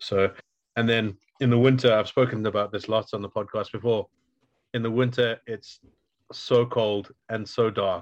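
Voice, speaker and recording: At a moderate pace and medium pitch, a man with a Welsh accent speaks in a flat monotone with long, frequent pauses, the sound dry and close with no echo. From Wales. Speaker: podcast host. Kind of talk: casual interview chat.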